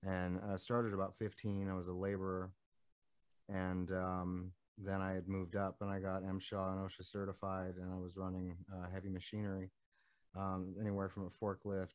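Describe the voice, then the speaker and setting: Against a quiet background, someone with an American accent speaks in a flat monotone at a moderate pace. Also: man. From Nevada, US West (small town). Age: 30s. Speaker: musician. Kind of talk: interview. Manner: halting, many fillers.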